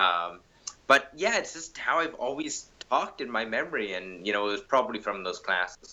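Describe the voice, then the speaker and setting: A man with a medium-pitched voice talks at a moderate speed, his pitch swinging very widely. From Canada, Winnipeg. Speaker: mixed martial arts fighter. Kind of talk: interview. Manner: hesitant, many fillers and repeats.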